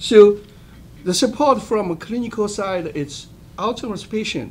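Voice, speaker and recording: A non-native accent is heard here. The speaker goes at a fairly slow pace. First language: not English. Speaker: medical researcher. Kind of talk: roundtable presentation. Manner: halting, many fillers.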